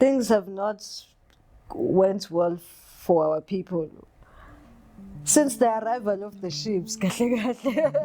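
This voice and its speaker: With a South African accent, a woman speaks very slowly at a medium pitch in a dark, mellow tone, her intonation lively, her loudness swinging widely, and her pauses long and frequent. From South Africa, KwaZulu-Natal (north of Durban). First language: isiZulu. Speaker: body artist. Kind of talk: interview. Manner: halting, frequent repetitions and fillers.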